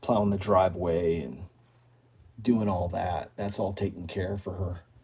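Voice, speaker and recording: A man speaks with a very deep, low pitch and a dark, mellow tone that is somewhat breathy. His pace is moderate and his intonation fairly even. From northern Maine. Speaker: outdoors YouTuber. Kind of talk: live stream chat reading viewer comments. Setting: live stream.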